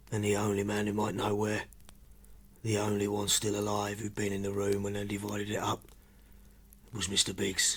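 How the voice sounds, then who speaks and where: Using a put-on character voice, a man speaks at a moderate pace with long, frequent pauses. The act is raspy, fairly low-pitched and flat in a monotone. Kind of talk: hard-boiled voice-over. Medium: audio drama. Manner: terse, clipped.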